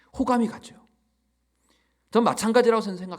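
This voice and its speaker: A man speaks with a Chungcheong accent. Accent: Chungcheong regional. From Chungcheong region, Korea. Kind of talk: relaxed.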